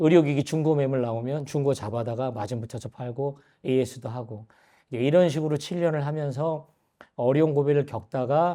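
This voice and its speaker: A man's fairly high voice at a fairly quick pace, with ordinary pitch variation over a quiet background. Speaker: businessman giving church testimony. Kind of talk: testimony. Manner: hesitant with fillers.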